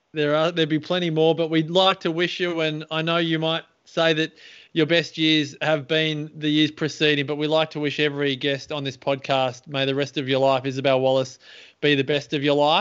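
A man speaks with an Australian accent in a fairly high pitch. His intonation is monotone and flat over a quiet background. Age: 40s. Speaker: podcast host. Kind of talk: interview. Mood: warm, cheerful. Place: home room. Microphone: earbuds.

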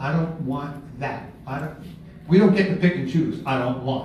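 At a moderate pace and with ordinary pitch variation, a man talks amid light background noise and audible room echo. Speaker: presenter. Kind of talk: workshop talk. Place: meeting room. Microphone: camera far.

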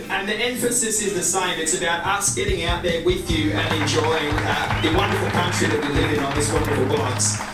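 Clear music plays in the background as a man talks at a fairly quick pace with hardly any pauses, with audible room echo. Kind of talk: welcome speech. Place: hall.

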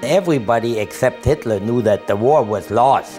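Clear music plays behind a man talking at a moderate pace. His pitch swings very widely. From Germany. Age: 80s+. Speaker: Holocaust survivor. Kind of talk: interview answer. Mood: earnest, vivid recollection. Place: home room.

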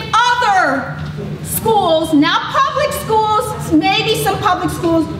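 Over noticeable background noise and audible room echo, a woman speaks in a raised, projected voice. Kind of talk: impassioned public speech. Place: hall. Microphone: camera far.

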